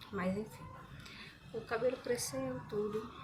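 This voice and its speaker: A soft-spoken voice. The intonation rises and falls in a lively way. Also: woman. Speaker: hair care vlogger. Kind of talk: casual vlog chat. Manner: soft-spoken, quiet.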